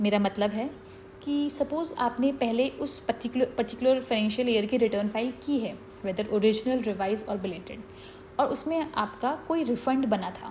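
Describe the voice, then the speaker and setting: A woman's fairly high voice with ordinary pitch variation, amid noticeable background noise. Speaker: chartered accountant. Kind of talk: educational explainer on tax law.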